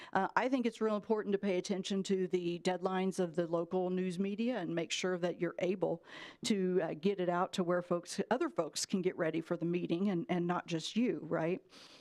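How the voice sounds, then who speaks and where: Over a quiet background, a woman with a plain, everyday voice talks at a fairly quick pace, with a medium pitch and fairly even intonation. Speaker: public policy trainer. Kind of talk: orientation presentation. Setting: city commission meeting.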